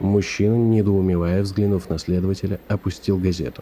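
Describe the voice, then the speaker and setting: The voice has a dark, mellow tone and a calm, dramatic delivery. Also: man. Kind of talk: audiobook narration, literary reading. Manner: measured, storytelling pace, calm; tense, suspenseful build with dramatic narration.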